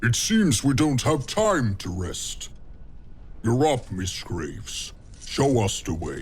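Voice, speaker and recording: Over clear background noise, a man in a put-on character voice talks at a fairly slow pace with a medium pitch and very wide pitch swings. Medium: machinima. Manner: curt, commanding.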